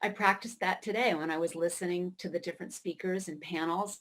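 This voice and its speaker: This is an ordinary speaking voice, a woman with an American accent. She talks at a moderate pace and a medium pitch. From Maine, US. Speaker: writer. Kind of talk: keynote speech.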